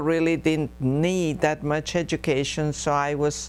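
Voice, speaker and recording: At a very slow pace, a woman with a Spanish accent speaks in a very deep, low pitch and a monotone, flat intonation. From Texas, San Marcos area. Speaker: oral history interviewee, former school board member. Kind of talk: oral history interview. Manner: hesitant, many fillers.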